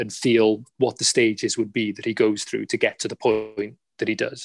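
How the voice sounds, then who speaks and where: A man with a South Wales accent, flat monotone intonation and a moderate pace, in a dry, close sound with no echo. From Cardiff, Wales. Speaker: actor. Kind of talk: interview panel. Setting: video call.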